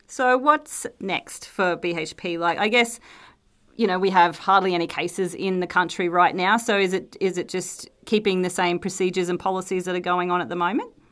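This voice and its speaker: A woman with a normal speaking voice talks at a medium pitch and moderate pace with ordinary pitch variation, in a very clean recording with a silent background. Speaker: company interviewer. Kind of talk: casual interview chat.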